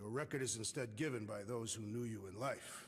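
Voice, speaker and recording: A man's raspy, put-on character voice at medium pitch and a fairly quick pace, over clear background noise. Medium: video game. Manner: blunt, solemn, literal.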